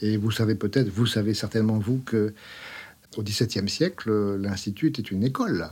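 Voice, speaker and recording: Using a normal speaking voice, a man talks at a moderate pace with fairly low pitch, ordinary pitch variation and very even loudness. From France. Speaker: scientist, academy secretary. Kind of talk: interview. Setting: studio.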